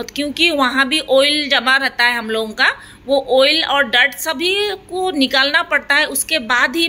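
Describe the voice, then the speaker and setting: The voice is raised and projected. Its pitch variation is ordinary. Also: woman. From Assam, India. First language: Assamese (speaking Hindi). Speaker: beauty parlour owner and trainer. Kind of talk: tutorial narration over demonstration. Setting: beauty parlour. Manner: hesitant, many filler sounds.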